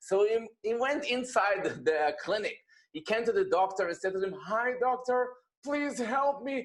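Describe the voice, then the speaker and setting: In an Israeli accent, a man speaks at a moderate pace with an extremely high pitch. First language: Hebrew. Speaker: rabbi. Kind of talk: personal testimony talk.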